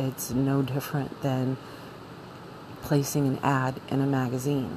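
Through noticeable background noise, a woman with a very deep, low pitch speaks at a fairly slow pace. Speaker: podcast host. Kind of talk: solo monologue. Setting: cold room.

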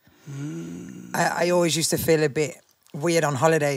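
A woman's very deep, low voice in a Birmingham accent. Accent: Birmingham (Brummie). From Birmingham, England. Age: 30s. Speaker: grime MC. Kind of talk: casual interview chat. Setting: studio, live podcast.

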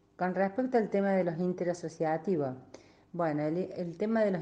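With fairly even intonation, the woman's voice has a dark, mellow tone. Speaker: basketball association representative. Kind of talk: radio interview.

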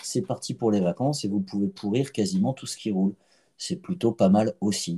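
A man speaks at a moderate pace with a fairly low pitch and a dark, mellow tone. His pitch swings very widely. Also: dry, close sound with no echo. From Paris (19th arrondissement). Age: 40s. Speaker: physiotherapist. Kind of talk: casual chat. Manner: halting, repeats words.

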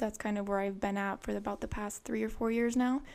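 In a very clean recording with a silent background, a woman with a normal speaking voice talks at medium pitch with fairly even intonation. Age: 20s. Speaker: graphic designer. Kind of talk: interview.

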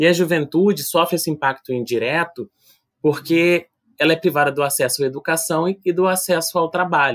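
With an unremarkable speaking voice, a man talks at a fairly quick pace, his pitch fairly high and his intonation fairly even. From Brazil, Rio de Janeiro (Vila do Vintém). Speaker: youth policy researcher. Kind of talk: podcast interview.

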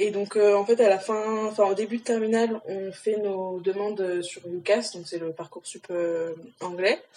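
Over noticeable background noise, a woman with a medium-pitched voice talks fairly slowly, her intonation fairly even but her loudness swinging widely. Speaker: university student. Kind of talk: casual chat.

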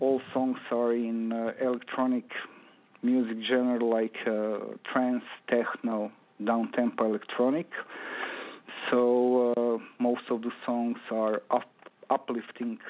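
Leaving long, frequent pauses, a medium-pitched man speaks at a very slow pace with monotone, flat intonation and very even loudness. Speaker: electronic music producer. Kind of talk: interview. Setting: phone call. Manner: halting.

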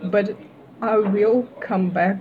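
The speaker has a Russian accent. Their intonation stays monotone and flat. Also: woman. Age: 20s. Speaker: university student. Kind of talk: casual interview. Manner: halting.

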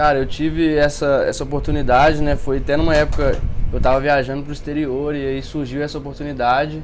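In a room with audible echo and noticeable background noise, a man speaks at a very fast pace in a fairly high pitch with monotone, flat intonation. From Brazil, Viçosa, Minas Gerais. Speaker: student investor. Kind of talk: casual chat.

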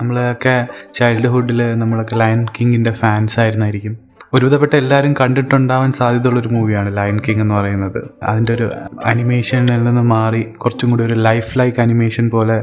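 A man speaks at a medium pitch with monotone, flat intonation. Noticeable background noise runs behind him. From Kerala, Thiruvananthapuram. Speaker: podcast host. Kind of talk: casual monologue.

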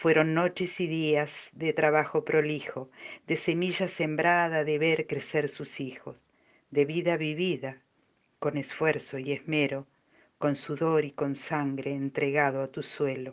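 Against a quiet background, a woman with a very deep, low pitch speaks at a very slow pace in a monotone, flat intonation. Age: old. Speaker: amateur poet. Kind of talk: poetry reading.

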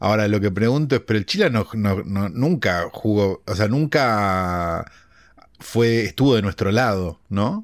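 A man with an unremarkable speaking voice talks fairly slowly at a fairly low pitch, with ordinary pitch variation and very even loudness, in a very clean recording with a silent background. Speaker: podcast co-host, film commentator. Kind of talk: casual chat.

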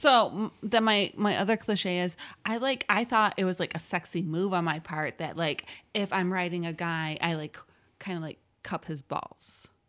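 The recording is very clean with a silent background. A woman with an unremarkable speaking voice talks at medium pitch and a moderate pace with ordinary pitch variation. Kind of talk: casual chat. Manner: joking, laughs often.

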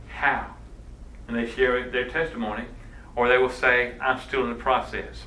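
A man speaks with audible room echo. Noticeable background noise is present as well. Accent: Southern US. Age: 50s. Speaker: missions education director. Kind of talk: workshop talk. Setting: church session with audience.

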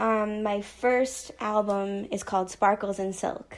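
On a very clean recording with a silent background, a woman uses a plain, everyday voice at a fairly high pitch. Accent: American. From United States. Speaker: electro pop musician. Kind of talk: self-introduction monologue.

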